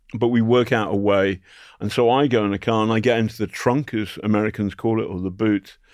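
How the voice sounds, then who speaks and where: With a British accent, a man of fairly low pitch speaks at a fairly quick pace. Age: 60s. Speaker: journalist. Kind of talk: interview. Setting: studio. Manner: animated.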